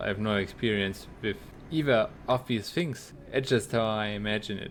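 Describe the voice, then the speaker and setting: A man with a German accent talks at a moderate pace. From Germany. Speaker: video game streamer. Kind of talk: casual gaming livestream chat. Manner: halting, repeats words.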